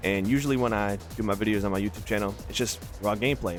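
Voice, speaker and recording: Music can be heard behind the speaker. He is a man whose pitch varies in an ordinary way. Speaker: gaming content creator. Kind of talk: casual gameplay commentary. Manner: fast, rambling.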